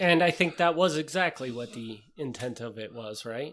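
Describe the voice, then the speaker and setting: Speaking with an American accent, a man keeps a medium pitch and moderate pace with ordinary pitch variation. The recording is very clean, with a silent background. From Wisconsin. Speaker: podcast co-host. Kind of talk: casual chat.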